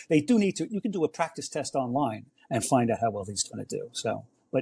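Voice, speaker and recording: A man speaks at a very fast pace in a somewhat breathy voice, recorded dry and close with no echo. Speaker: standardized test prep expert. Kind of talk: podcast interview.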